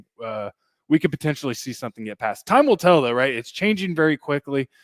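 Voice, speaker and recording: In a very clean recording with a silent background and dry, close sound with no echo, a man speaks with a fairly high pitch and lively intonation. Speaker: grain market analyst show host. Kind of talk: livestream market commentary. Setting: livestream. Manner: fast.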